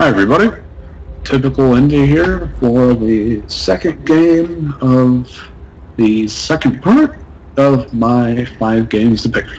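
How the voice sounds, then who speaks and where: A man speaks at a very slow pace with a medium pitch and ordinary pitch variation. Noticeable background noise is present. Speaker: gaming YouTuber. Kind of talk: let's play commentary. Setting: home recording setup.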